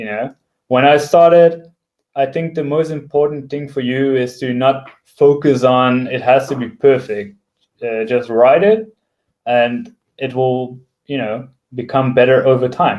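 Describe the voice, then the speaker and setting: A fairly slow man's voice with a non-native accent, medium pitch and ordinary pitch variation. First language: not English. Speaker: software developer and tech blogger. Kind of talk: talk. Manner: hesitant, many fillers.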